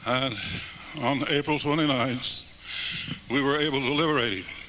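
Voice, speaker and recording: Talking at a fairly slow pace with an American accent, a man's fairly high voice keeps a fairly even intonation over noticeable background noise. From United States. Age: 80s+. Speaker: retired army general, war veteran. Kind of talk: public testimony speech to live audience. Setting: church hall.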